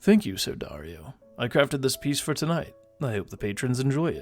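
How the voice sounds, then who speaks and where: A put-on character voice from a man at a medium pitch, fairly quick pace, faint music in the background. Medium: read story. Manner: formal, polite.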